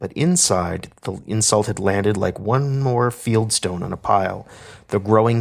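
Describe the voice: This is plain reading aloud. The pitch varies an ordinary amount.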